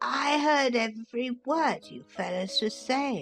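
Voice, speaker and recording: Over music in the background, a woman uses a hoarse, put-on character voice pitched high. She speaks at a fairly slow pace. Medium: audio drama.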